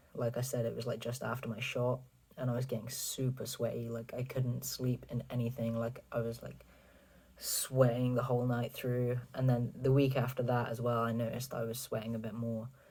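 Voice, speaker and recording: At a moderate pace, a man speaks in a somewhat breathy voice with a dark, mellow tone and monotone, flat intonation. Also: medium pitch for a man. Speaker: vlogger. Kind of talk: casual vlog update. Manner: casual, filler-heavy.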